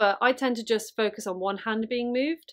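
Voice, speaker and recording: A woman talks with ordinary pitch variation, and the background is quiet. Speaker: puppeteer teacher. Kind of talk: tutorial.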